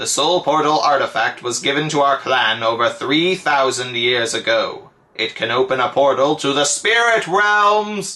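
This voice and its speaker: In a put-on character voice, a man with a fairly high pitch talks at a moderate pace with hardly any pauses. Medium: solo performance.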